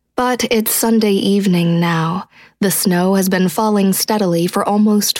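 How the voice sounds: The delivery is a natural reading voice. Its intonation stays fairly even.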